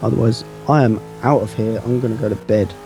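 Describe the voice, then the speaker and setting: A man's fairly even intonation with music in the background. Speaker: livestream commentator for a racing game competition. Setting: long late-night broadcast.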